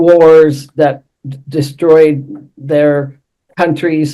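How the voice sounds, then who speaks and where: A woman speaks at a very slow pace in a very deep, low pitch. Her intonation is flat and monotone, and her tone is dark and mellow. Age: 80s+. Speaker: feminist activist. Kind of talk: interview conversation on webinar. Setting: video call webinar.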